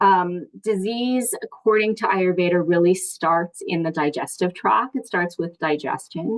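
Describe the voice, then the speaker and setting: Dry, close sound with no echo, a woman's fairly low pitch and ordinary pitch variation. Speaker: ayurveda wellness teacher. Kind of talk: online workshop talk. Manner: fast; casual with many fillers.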